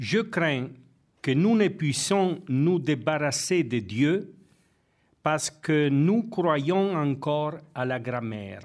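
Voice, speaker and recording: A man's fairly high voice at a very slow pace, with lively intonation and audible room echo. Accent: non-native. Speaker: theology professor and priest. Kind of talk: lecture.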